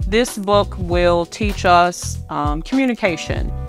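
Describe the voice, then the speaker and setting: The voice sounds dry with no echo, with clear music in the background. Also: woman. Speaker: author and minister. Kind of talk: book promotion talk. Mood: warm, earnest.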